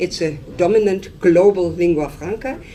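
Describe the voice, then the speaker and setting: The woman's pitch is fairly low. Background noise is noticeable, and room echo is audible. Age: 60s. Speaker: professor. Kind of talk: lecture.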